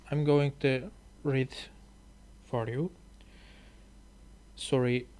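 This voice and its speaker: A man's medium-pitched voice with a Turkish accent and fairly even intonation, at a very slow pace with long, frequent pauses. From Turkey. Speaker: language learner and YouTuber. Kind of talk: reading aloud with commentary. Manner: halting.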